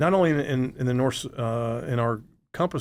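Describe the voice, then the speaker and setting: Here a man speaks at a medium pitch with ordinary pitch variation. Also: very clean recording, silent background. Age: 60s. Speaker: real estate broker. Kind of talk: interview. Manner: halting, many repeated words.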